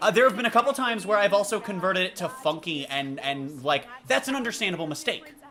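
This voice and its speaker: Very fast speech from a woman at a medium pitch, with very wide pitch swings and noticeable background noise. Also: hardly any pauses. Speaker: streamer and esports caster. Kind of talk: casual chat. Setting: live stream watch party.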